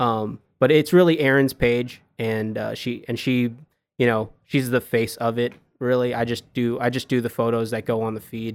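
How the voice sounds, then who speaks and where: An ordinary speaking voice from a man with an American accent, medium in pitch, at a moderate pace with fairly even intonation, on a very clean recording with a silent background. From US Northeast, Long Island, New York. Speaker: photographer and videographer. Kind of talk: casual interview.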